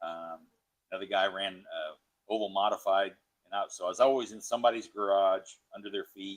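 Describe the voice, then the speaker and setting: A man speaks in a plain, everyday voice. His fairly low pitch follows a fairly even intonation. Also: fairly quick pace, big swings in loudness. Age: 60s. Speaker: racer. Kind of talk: interview. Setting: garage.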